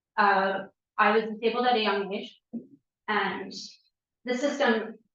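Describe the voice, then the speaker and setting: Against audible room echo, a woman with an American accent speaks at a fairly slow pace. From Woodstock, New York, US. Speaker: resident speaking at public hearing. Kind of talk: public comment at town meeting. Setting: town hall meeting. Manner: halting, many fillers.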